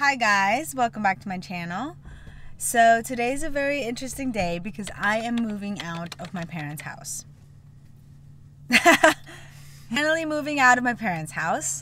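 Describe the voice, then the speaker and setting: At a moderate pace, the speaker's voice has a bright, sharp tone, very wide pitch swings and big swings in loudness, with long, frequent pauses and a dry sound with no echo. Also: woman. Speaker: vlogger. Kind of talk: casual vlog chat. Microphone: phone near.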